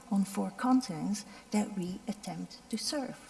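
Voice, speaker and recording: Against noticeable background noise, a woman speaks with a fairly high pitch. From Belgium, Ardennes. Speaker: doctor, head of a medical volunteer organization. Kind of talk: panel talk. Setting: stage with audience. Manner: halting, many fillers.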